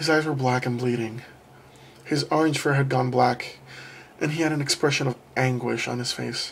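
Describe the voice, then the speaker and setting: This man has a somewhat breathy voice. He keeps to a moderate pace. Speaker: creepypasta narrator. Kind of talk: horror story reading.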